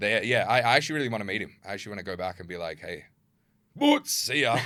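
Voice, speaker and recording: A man's very fast, bright and sharp voice at a medium pitch, in an Australian accent, with ordinary pitch variation and big swings in loudness. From Perth, Australia (partly Germany). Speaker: social media creator. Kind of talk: casual chat.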